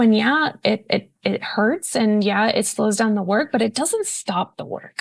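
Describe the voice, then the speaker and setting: A woman with a fairly high pitch at a moderate pace, quiet background. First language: Spanish. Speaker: open education advocate. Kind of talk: podcast interview.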